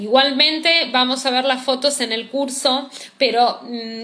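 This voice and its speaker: An ordinary speaking voice with fairly even intonation, at a fairly slow pace. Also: woman. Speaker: cosmetology teacher. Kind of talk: live-streamed class.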